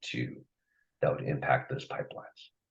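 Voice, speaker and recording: A man speaks with noticeable vocal fry. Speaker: agency staff presenter. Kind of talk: formal presentation at public meeting. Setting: public commission meeting. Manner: halting with fillers.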